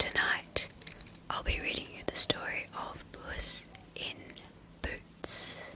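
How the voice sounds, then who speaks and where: A woman whispers at a very slow pace with long, frequent pauses and big swings in loudness, over noticeable background noise. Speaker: bedtime story reader. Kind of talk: calm intro talk to listeners. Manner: soft-spoken.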